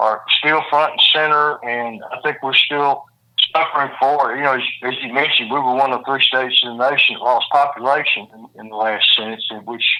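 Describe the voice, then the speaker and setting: At a fairly quick pace, a man with a Mississippi accent and fairly high pitch uses fairly even intonation but big swings in loudness. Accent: Mississippi Southern. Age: 70s. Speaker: former judge and governor candidate. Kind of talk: interview. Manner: repetitive, halting phrasing.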